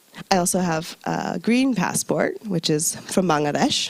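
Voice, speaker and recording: A woman with an American accent, fairly low in pitch and with very wide pitch swings, in a dry, close sound with no echo and noticeable background noise. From US, New York. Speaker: UN recruitment officer. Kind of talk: presentation to audience. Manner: conversational, engaging.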